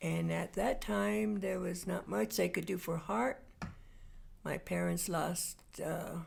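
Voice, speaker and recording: A woman's voice at a very slow pace, with very even loudness. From New Mexico (Des Moines). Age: 80s+. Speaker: interviewee. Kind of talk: oral history interview.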